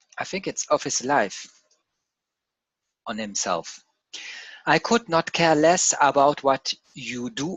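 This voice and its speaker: Very slow speech in a non-native accent, with long, frequent pauses. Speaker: crypto trading analyst. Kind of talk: reading aloud from a written text; casual chat. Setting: screen share video. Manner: halting, with repetitions and self-corrections.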